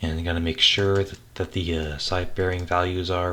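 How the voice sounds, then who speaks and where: Moderate pace and fairly even intonation from a man with a very deep, low voice. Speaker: type designer. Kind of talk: tutorial. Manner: halting; casual.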